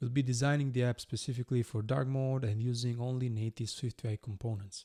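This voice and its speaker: A man speaks at a medium pitch with ordinary pitch variation and a non-native accent, his tone dark and mellow. The pace is fairly quick, and the sound is dry and close with no echo on a very clean recording with a silent background. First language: not English. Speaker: iOS developer, tutorial creator. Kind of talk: tutorial. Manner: hesitant, many uh fillers.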